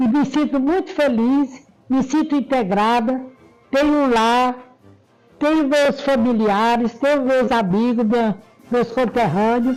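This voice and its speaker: A woman speaks in a high voice at a fairly slow pace, with ordinary pitch variation, long and frequent pauses, very even loudness, and music playing in the background. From Brazil, Rio Grande do Norte (Triunfo Potiguar). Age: 80s+. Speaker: community association co-founder. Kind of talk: interview.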